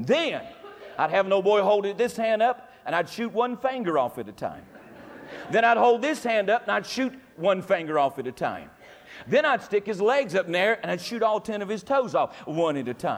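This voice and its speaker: This speaker, in a North Carolina accent, keeps a moderate pace with very wide pitch swings. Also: man, high pitch for a man. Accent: Southern US (North Carolina). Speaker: Baptist preacher. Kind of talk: Sunday morning sermon, folksy revivalist preaching with humorous asides. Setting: church service with congregation. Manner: rhythmic, emphatic repetition in climactic gospel appeal.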